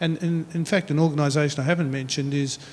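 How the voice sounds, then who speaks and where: In an Australian accent, a man with a fairly high pitch speaks in a flat monotone. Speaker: meteorology official. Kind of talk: panel discussion. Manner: halting.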